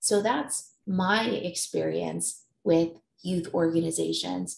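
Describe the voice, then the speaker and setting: A woman's voice carries audible echo from the room. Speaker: conference presenter. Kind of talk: presentation talk. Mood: warm, personal storytelling. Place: home room. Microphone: webcam.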